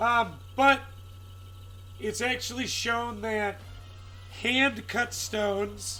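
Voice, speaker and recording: A man speaking at a very slow pace with music in the background. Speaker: live streamer, gem cutter. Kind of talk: live stream chat and demonstration. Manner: casual, chatty.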